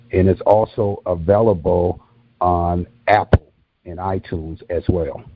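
A man's very deep, low voice with an American accent, flat and monotone, over background music. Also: fairly slow pace. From Racine, Wisconsin. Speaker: author. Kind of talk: interview.

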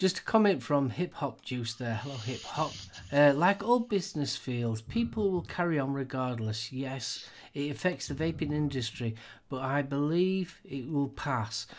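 The recording is very clean, with a silent background. It carries an unremarkable speaking voice with lively intonation, moving at a moderate speed. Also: man, fairly high pitch for a man. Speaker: podcast co-host. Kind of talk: casual chat about vaping news.

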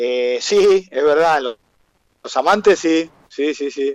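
At a very slow pace, a man talks in a fairly high pitch with lively intonation. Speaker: carnival troupe founder. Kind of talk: interview.

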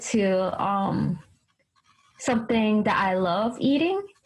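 A woman speaks with a New York accent. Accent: New York American English. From US, New York City. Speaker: English teaching assistant. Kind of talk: casual chat. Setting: video call between Japan and America.

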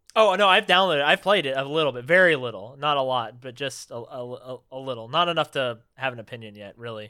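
A man's bright, sharp voice at medium pitch, very fast with hardly any pauses, on a very clean recording against silence. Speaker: podcast host. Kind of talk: casual chat.

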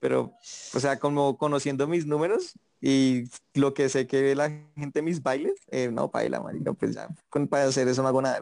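This man has a normal speaking voice, fairly high in pitch. He keeps a moderate pace and fairly even intonation. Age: 20s. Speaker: TikToker. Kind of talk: casual chat.

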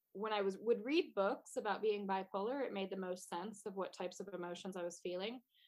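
A woman talks in a normal speaking voice at a medium pitch. Her pace is fairly quick. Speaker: artist and entrepreneur. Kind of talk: podcast interview. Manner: laughs often.

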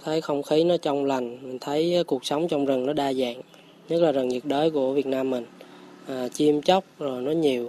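Fairly even in intonation, the man's voice carries a dark, mellow tone. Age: 30s. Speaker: forest farm owner, former IT engineer. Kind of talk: radio interview. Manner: casual, with hesitations.

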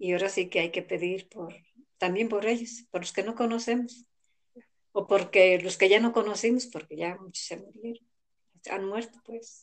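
Using a normal speaking voice, a woman talks at medium pitch and a moderate pace with fairly even intonation. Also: big swings in loudness. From rural central Mexico. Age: 60s. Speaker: elderly interviewee. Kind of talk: interview.

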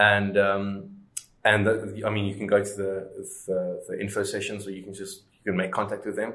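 A man speaks in a fairly low pitch with a bright, sharp tone and monotone, flat intonation. His loudness swings widely, and audible room echo is present. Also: moderate pace. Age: 20s. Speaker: startup co-founder. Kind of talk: interview. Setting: outdoors.

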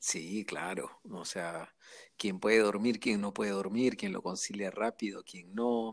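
At a fairly slow pace, a man speaks in a fairly low pitch with fairly even intonation. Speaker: interviewee on emotions. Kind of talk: casual interview conversation.

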